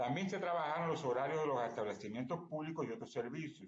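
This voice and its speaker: A man's somewhat breathy voice with a Cuban accent and lively intonation, amid audible room echo. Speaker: academic conference speaker, Spanish language teacher. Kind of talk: conference talk. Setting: remote presentation via online platform. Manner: fast.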